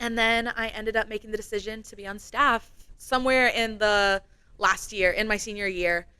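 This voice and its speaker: A woman with an American accent, fairly high in pitch, with a bright, sharp, animated tone, big swings in loudness and a moderate pace, on a very clean recording with a silent background. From Iowa, US Midwest. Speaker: campus ministry staff member. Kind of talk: podcast interview.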